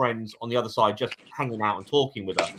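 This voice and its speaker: A man with an English accent at a very fast pace. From England. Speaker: paranormal YouTuber. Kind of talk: casual chat. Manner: halting, repeats words.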